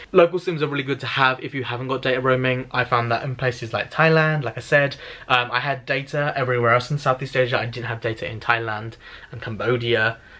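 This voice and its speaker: A man with a British accent speaks at a very fast pace, medium in pitch and fairly even in intonation. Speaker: travel vlogger. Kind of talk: casual vlog tutorial. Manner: casual, filler-heavy.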